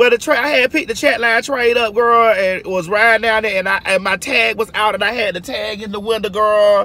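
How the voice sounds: A woman talks at a fairly quick pace. Her voice is medium in pitch with a fairly bright tone.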